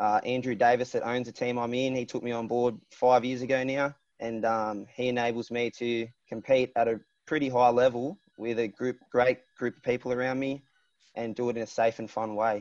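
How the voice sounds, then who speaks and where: A man with an Australian accent speaks at medium pitch and a moderate pace, with monotone, flat intonation and big swings in loudness. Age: 20s. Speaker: water ski racer. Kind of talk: casual chat.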